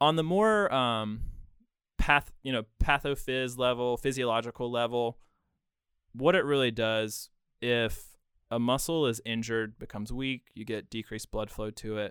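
A man with an American accent speaks at a moderate pace and medium pitch. He has an unremarkable speaking voice with ordinary pitch variation. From Western North Carolina, Bryson City. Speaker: physical therapist. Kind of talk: casual interview.

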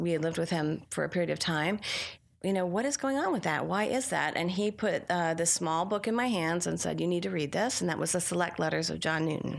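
A woman's plain, everyday voice, fairly low-pitched, at a fairly quick pace with very even loudness, on a very clean recording against a silent background. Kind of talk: interview. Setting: live on-site at a conference.

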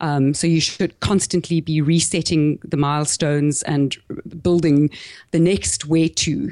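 With a South African accent, a woman speaks at a fairly slow pace in a very deep, low voice with a dark, mellow tone, monotone, flat intonation and very even loudness, sounding dry and close with no echo over a quiet background. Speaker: small business podcaster and marketing coach. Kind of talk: interview.

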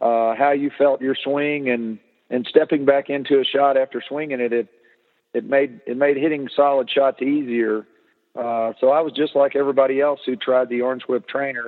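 His voice sits fairly high for a man, with monotone, flat intonation. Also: moderate pace. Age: old. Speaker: golf instructor. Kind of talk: interview. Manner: halting.

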